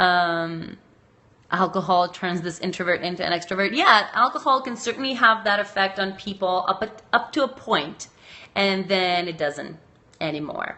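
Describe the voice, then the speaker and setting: This woman has a medium-pitched voice and a slight Macedonian accent. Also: moderate pace. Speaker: sex researcher and educator. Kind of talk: live stream chat answering viewer comments. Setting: live video stream.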